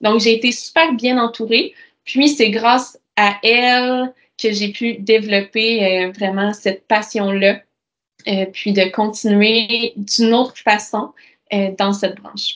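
Speaking at a very slow pace with a Quebec accent, a woman uses a fairly high pitch and fairly even intonation. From Quebec, Bas-Saint-Laurent (Amqui). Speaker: nurse and nonprofit founder. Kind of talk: interview conversation.

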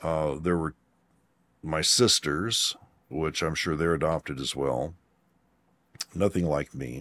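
On a very clean recording with a silent background, a man talks at a fairly slow pace with a very deep, low pitch, ordinary pitch variation and vocal fry. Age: 60s. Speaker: psychic healer and explorer. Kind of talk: casual interview chat.

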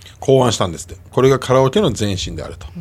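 A man with a Kansai accent and a creak of vocal fry. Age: 50s. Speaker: radio host. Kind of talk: casual chat.

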